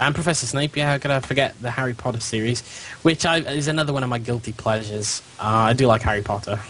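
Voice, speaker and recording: Very fast speech in a British accent, with ordinary pitch variation and noticeable background noise. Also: man, medium pitch for a man. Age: 30s. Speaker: gaming podcast co-host. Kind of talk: casual chat.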